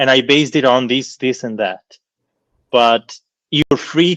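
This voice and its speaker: A man talks at a fairly slow pace with a non-native accent. The sound is dry and close, with no echo. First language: not English. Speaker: professor of philology. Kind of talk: lecture Q&A answer. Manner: halting, with many fillers and repetitions.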